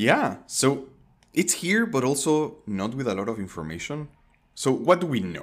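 In a very clean recording with a silent background, a man shows vocal fry and very wide pitch swings. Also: medium pitch for a man, moderate pace. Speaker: podcast co-host. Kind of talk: casual conversational podcast chat.

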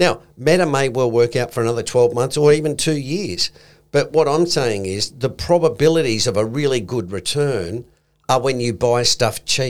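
A man at a medium pitch with an Australian accent, lively intonation and a moderate pace. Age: old. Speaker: investment podcast co-host. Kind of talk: casual chat.

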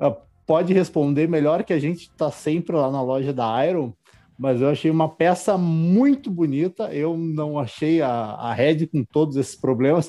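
A man speaks at a fairly slow pace with a dark, mellow tone. His pitch sits fairly high. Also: ordinary pitch variation. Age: 20s. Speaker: podcast host. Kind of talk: casual chat.

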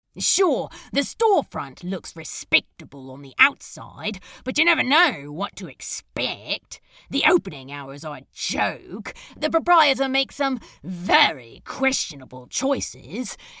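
The speaker uses a put-on character voice at a middle pitch. The pace is fairly slow, with very wide pitch swings. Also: female-sounding voice. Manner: sulky, sarcastic, hurt.

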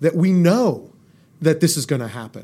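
In a Californian accent, a man with a fairly high pitch and a dark, mellow tone speaks with lively intonation. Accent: Californian American. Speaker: inventor and medical technology entrepreneur. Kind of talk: interview. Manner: animated.

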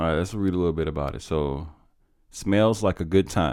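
A man speaks in an animated tone. His pitch shows ordinary variation. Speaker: podcast host. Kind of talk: casual banter. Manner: joking, animated.

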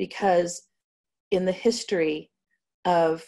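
Her intonation stays fairly even as a woman talks at a medium pitch. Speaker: cannabis company executive. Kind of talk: interview. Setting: video call.

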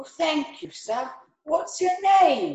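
Someone uses a put-on character voice at a high pitch, with a slight echo. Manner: polite, friendly.

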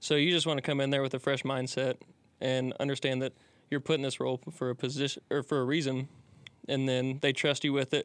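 Very fast and at medium pitch, a man with a Midwestern American accent speaks in a monotone, flat intonation at very even loudness, in a very clean recording with a silent background. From Indiana. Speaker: college baseball pitcher. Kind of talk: casual interview.

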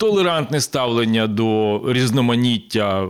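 Speaking at a very slow pace, a man with a medium pitch uses lively intonation on a very clean recording with a silent background. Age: 50s. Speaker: public broadcaster manager and former city councillor. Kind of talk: casual chat. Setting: studio.

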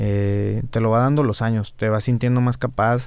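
This man speaks at a fairly low pitch in a monotone, flat intonation, and the recording is very clean with a silent background. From Monterrey, northern Mexico. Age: 20s. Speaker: rapper. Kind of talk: casual chat.

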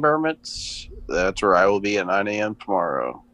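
Noticeable background noise sits behind a man whose pitch is fairly low. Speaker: podcast co-host. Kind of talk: casual chat.

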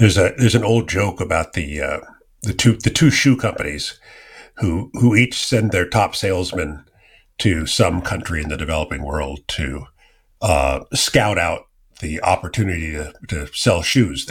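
Someone with an American accent speaks at a moderate pace, somewhat breathy and with lively intonation, in a very clean recording with a silent background. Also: man, very deep, low pitch for a man. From US West Coast (Silicon Valley, California). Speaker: podcast host. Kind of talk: interview.

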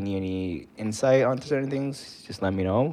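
This man speaks in an American accent at a fairly low pitch. His pace is fairly quick and his pitch variation ordinary. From US. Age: 20s. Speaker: podcast co-host. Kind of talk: casual chat. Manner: animated.

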